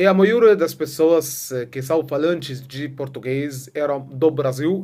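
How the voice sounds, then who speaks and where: A man with an Arabic accent speaks very slowly at a fairly high pitch, his pitch varying in an ordinary way. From Egypt. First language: Arabic (speaking Portuguese). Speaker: vlogger. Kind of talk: casual vlog monologue. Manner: halting, many filler sounds.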